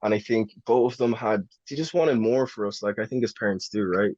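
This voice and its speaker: A man with an Irish accent at a fairly quick pace, ordinary pitch variation, and a dry, close sound with no echo. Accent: Irish accent that can sound American to some. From Ireland, Newbridge, County Kildare. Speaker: actor. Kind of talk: podcast interview. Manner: casual, hesitant fillers.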